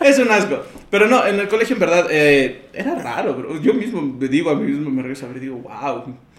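The speech moves at a fairly quick pace. There is audible room echo and noticeable background noise. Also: man. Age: 20s. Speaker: podcast guest. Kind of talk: casual chat.

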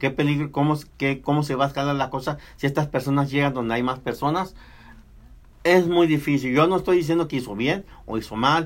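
A man talks fairly quickly in a plain, everyday voice, pitched fairly high. His intonation stays fairly even. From Mexico. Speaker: radio host. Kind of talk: casual chat.

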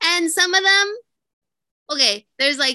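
With a bright, sharp tone, a woman speaks in a raised, projected voice. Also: dry, close sound with no echo. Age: 20s. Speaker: podcast co-host. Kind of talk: casual chat. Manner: loud.

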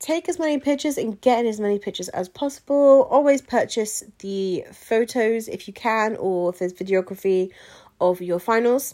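With an English accent, a woman speaks at a moderate pace in a dark, mellow tone with lively intonation. The recording is very clean against a silent background. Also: fairly high pitch for a woman. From England. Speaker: podcast host, pageant queen. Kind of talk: casual advice monologue.

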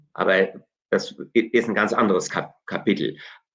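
A man speaks at a fairly slow pace. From Hesse, Germany. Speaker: theology professor. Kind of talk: interview. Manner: halting.

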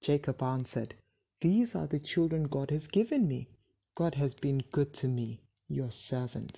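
Against a quiet background, a woman speaks slowly-ish in a very deep, low pitch with a dark, mellow tone. Her voice is somewhat breathy, with lively intonation. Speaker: Bible reader. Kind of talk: bible story narration, read aloud chapter by chapter. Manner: steady, even-paced storyteller; clear, measured, plainly read.

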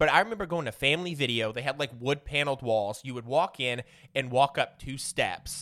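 Heard in a very clean recording with a silent background, a man with an American accent and a fairly high pitch speaks at a fairly quick pace in a bright, sharp tone with ordinary pitch variation. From Southern Illinois, US. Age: 30s. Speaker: podcast guest. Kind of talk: casual chat.

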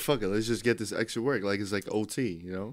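In a very clean recording with a silent background, a man talks at a fairly quick pace in an ordinary speaking voice, fairly low in pitch. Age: 20s. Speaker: personal trainer. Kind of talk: casual chat.

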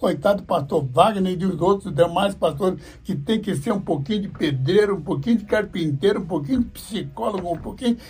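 A man speaks in a high pitch with a dark, mellow tone. His pitch varies in an ordinary way. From Brazil, interior of São Paulo (born in Paraná). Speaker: evangelist pastor. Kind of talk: interview, life story. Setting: radio studio.

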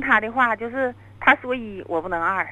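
Speaking at a fairly quick pace, a woman uses a bright, sharp tone at medium pitch with lively intonation. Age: 40s. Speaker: caller. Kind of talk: phone-in confession.

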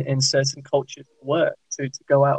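Somewhat breathy and fairly high in pitch, a man talks at a fairly quick pace with flat, monotone intonation in a dry, close sound with no echo. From West Midlands England, Worcester. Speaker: pharmacist and charity volunteer. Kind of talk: casual chat.

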